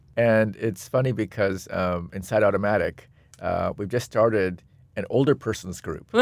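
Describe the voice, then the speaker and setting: In an American accent, a man talks at a moderate pace with a normal speaking voice. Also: fairly low pitch for a man, ordinary pitch variation. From US, Seattle. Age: 50s. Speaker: designer and technologist. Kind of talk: interview conversation.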